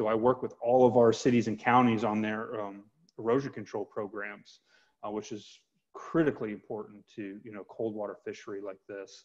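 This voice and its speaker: A man with an American accent and a normal speaking voice talks at a moderate pace with fairly even intonation against a quiet background. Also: medium pitch for a man, big swings in loudness. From US South, Georgia (Metro Atlanta); Georgia. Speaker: environmental nonprofit advocate. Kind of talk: webinar interview. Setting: video call. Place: home room. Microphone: earbuds.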